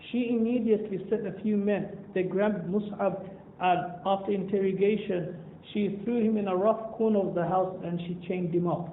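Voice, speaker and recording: A man's high-pitched, monotone voice with flat intonation, a moderate pace and hardly any pauses, over noticeable background noise. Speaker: Islamic scholar and teacher. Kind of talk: religious talk to a youth audience (seerah story).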